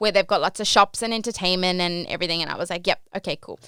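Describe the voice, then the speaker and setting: Bright and sharp in tone, a woman with an Australian accent speaks at a medium pitch in a very clean recording with a silent background. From Australia, Port Macquarie NSW. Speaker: podcast host, cruise ship worker. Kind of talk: casual storytelling podcast. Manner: animated, chatty with many fillers.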